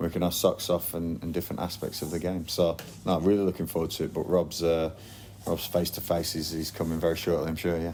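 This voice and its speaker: Very fast speech in a strong Lancashire accent, with flat, monotone intonation. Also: man, very deep, low pitch for a man. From northern England, Blackburn. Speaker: football manager. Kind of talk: interview. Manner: hesitant, repetitive.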